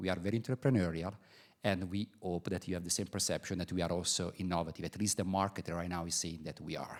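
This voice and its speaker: At a very fast pace, a man talks with a very deep, low pitch in an Italian accent. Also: very clean recording, silent background. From Italy. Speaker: business executive. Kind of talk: welcome speech. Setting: stage with audience. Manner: hesitant, many fillers.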